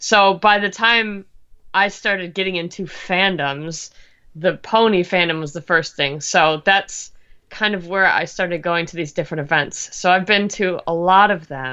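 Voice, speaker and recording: A woman's normal speaking voice at medium pitch, with ordinary pitch variation and a moderate pace. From Canada. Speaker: animator and web creator. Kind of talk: casual interview.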